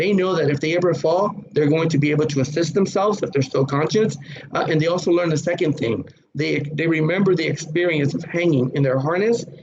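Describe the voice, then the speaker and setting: Over noticeable background noise and audible room echo, a man with a fairly high voice talks very fast, with ordinary pitch variation and very even loudness. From Puerto Rico. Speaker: safety trainer. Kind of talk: lecture.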